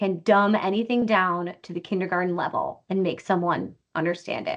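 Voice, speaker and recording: The voice belongs to a woman. She talks with an American accent. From Wisconsin. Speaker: company CEO. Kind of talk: interview. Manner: fast.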